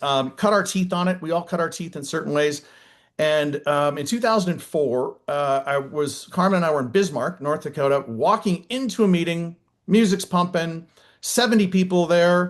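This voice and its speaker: An American accent marks this man's high-pitched voice. He talks at a moderate pace with ordinary pitch variation against a quiet background. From northern Minnesota. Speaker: network marketing business leader. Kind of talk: motivational team call.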